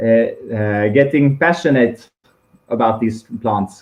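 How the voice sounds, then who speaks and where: The speaker has a Swedish accent. The delivery is very slow. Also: man. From Niger, West Africa. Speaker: social entrepreneur. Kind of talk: interview. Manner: halting, many fillers.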